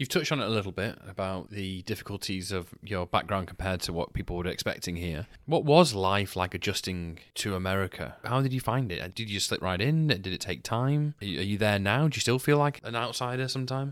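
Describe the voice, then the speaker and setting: In an English accent, a man talks at a fairly low pitch with lively intonation and hardly any pauses. The recording is very clean, with a silent background. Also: fairly quick pace. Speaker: podcast host. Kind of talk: interview conversation.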